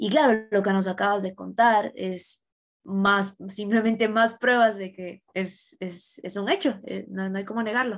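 A woman at a fairly slow pace, fairly even intonation and big swings in loudness, against a quiet background. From Ecuador. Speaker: student interviewer. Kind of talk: interview. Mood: warm, appreciative. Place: home room. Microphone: webcam.

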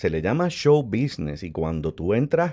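Speaking at a fairly slow pace, a man with a dark, mellow tone makes very wide pitch swings on a very clean recording with a silent background. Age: 50s. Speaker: actor. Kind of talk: interview conversation.

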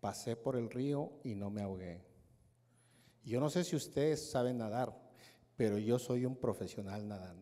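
A dark, mellow tone with ordinary pitch variation, a fairly slow pace and long, frequent pauses. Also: man, medium pitch for a man. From Mexico, Hidalgo. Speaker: network marketing speaker; speaker. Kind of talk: motivational speech. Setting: stage with audience. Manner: animated. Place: hall. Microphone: handheld.

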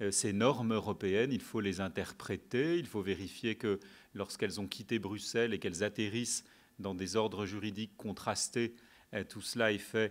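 A man speaks in a plain, everyday voice at a moderate pace. His pitch is fairly low and his intonation fairly even. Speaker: debate moderator. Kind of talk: lecture. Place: hall. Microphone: podium.

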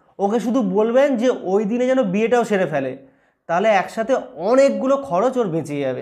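This voice moves through very wide pitch swings against a quiet background. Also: man, high pitch for a man. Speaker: stand-up comedian. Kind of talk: stand-up comedy roast of viewer comments, casual talk to camera. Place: home room.

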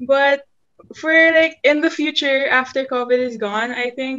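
Against a quiet background, a woman with a high-pitched voice talks at a fairly slow pace with ordinary pitch variation. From Philippines. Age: young. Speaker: college student; podcast guest. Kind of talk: casual chat. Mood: cheerful, a bit shy. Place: home room. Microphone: video call.

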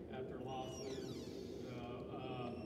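A man amid loud background noise and audible room echo. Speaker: basketball coach. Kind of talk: banquet speech. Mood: grateful, warm. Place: hall. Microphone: camera far.

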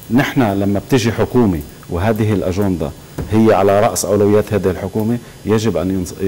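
The speech moves at a moderate pace with ordinary pitch variation. There is light background noise. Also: man, fairly low pitch for a man. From Lebanon. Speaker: political researcher and writer; TV guest. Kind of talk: TV talk show interview. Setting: TV studio. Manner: animated. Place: studio.

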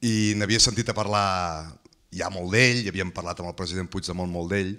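Against a quiet background, a man's bright, sharp tone carries ordinary pitch variation. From Catalonia. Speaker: audience member and legal collaborator; audience member. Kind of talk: audience Q&A remarks. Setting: hotel event with live audience. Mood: warm, anecdotal. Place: meeting room. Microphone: handheld.

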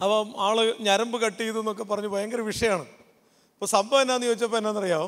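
Fairly even intonation over a quiet background. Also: man, high pitch for a man. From Kerala, Kottayam; Kerala, India. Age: 40s. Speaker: pastor and counsellor; pastor. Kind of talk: youth camp talk. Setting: stage with audience. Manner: interactive, conversational. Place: stage. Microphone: handheld.

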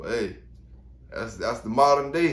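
Fairly quick speech with audible room echo. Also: man. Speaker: dog kennel owner commenting on news. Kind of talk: casual vlog commentary. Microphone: earbuds.

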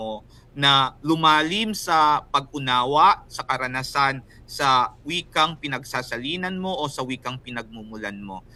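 With a bright, sharp tone and a fairly high pitch, a man talks at a fairly slow pace with ordinary pitch variation. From Philippines, Bicol region. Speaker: writer and translator. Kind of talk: interview. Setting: remote call from a meeting venue. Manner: thoughtful, with frequent hesitations.

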